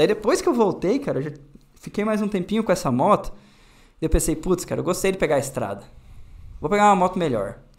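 The speech moves at a very fast pace. Long pauses come frequently. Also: man, high pitch for a man. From Paraná, southern Brazil (near Pato Branco/Francisco Beltrão); Paraná, Brazil. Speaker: motorcycle youtuber. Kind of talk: casual interview. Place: studio. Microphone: studio mic.

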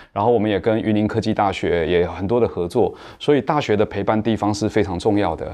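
Talking at a very fast pace, a man has a fairly low pitch and a dark, mellow tone. His pitch varies in an ordinary way against a quiet background. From Taiwan, Nantou; Taiwan. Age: 40s. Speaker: cultural entrepreneur; guest. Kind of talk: panel discussion. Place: studio. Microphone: lapel.

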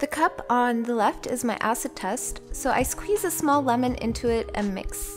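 Here a woman talks. Behind her, music can be heard. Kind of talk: tutorial narration.

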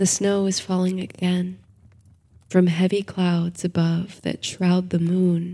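The voice has a calm, soothing tone that is dark, mellow and somewhat breathy. It moves at a very slow pace. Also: woman, medium pitch for a woman. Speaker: sleep story narrator. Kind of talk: bedtime story with guided meditation and countdown. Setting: studio recording for sleep audio. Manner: soothing, slow and hushed, gentle lulling cadence; dreamy, calm storytelling.

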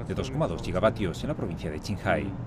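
A man talks at a very fast pace. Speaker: news reporter. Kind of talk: news report narration.

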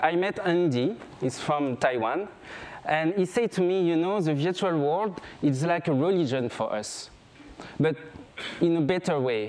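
A high-pitched man with a French accent speaks with lively intonation and long, frequent pauses. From France, grew up on a small island. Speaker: photographer. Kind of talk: stage talk. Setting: stage with audience. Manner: halting, with fillers. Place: stage.

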